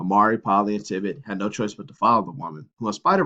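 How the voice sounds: A natural reading voice with fairly even intonation carries through the clip.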